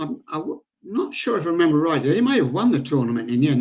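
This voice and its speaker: Fairly quick speech from a male speaker in an English accent. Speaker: pool veteran and organiser. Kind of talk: podcast interview. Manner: halting.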